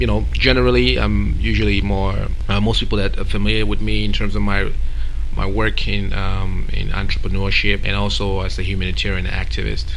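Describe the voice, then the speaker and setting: With noticeable background noise behind him, a man speaks at a fairly quick pace in a very deep, low voice. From Cameroon. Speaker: event organizer and entrepreneur. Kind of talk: radio interview. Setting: radio studio. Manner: hesitant, many fillers and repetitions.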